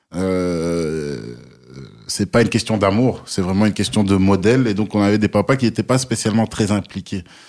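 A man with an unremarkable speaking voice, fairly low pitch, moderate pace and very even loudness, on a very clean recording with a silent background. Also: ordinary pitch variation. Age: 30s. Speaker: new father. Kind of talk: casual chat.

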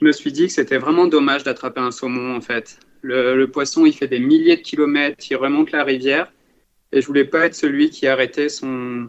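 This man's fairly high voice moves at a moderate pace with monotone, flat intonation. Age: 20s. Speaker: cycling traveller. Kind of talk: podcast interview.

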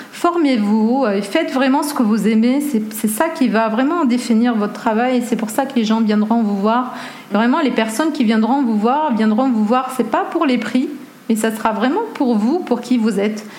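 Over noticeable background noise and audible room echo, a woman talks fairly slowly at a high pitch, her loudness very even and her pitch varying in an ordinary way. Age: 30s. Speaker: photographer. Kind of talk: interview.

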